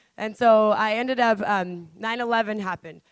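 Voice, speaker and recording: Speaking at a moderate pace, a woman with a fairly high pitch keeps her intonation fairly even. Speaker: TV news reporter. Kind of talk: panel talk. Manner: casual.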